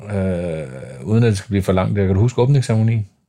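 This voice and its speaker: On a very clean recording with a silent background, a man speaks with a fairly low pitch and a dark, mellow tone. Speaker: podcast host. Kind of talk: casual interview.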